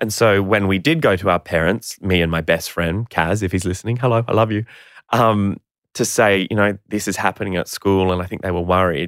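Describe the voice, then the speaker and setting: Speaking fairly quickly with an Australian accent, a man uses a fairly low pitch and ordinary pitch variation in a very clean recording with a silent background and a dry, close sound with no echo. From Queensland, Australia. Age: 30s. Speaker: actor and children's TV presenter. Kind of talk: interview.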